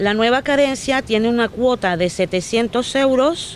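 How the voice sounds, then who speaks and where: A fairly high-pitched woman with lively intonation at a fairly slow pace, amid noticeable background noise. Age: 60s. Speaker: affected homeowner. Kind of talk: reading a prepared statement.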